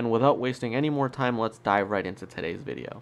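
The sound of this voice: A man talks fast with a nasal, fairly low-pitched voice. His intonation is lively.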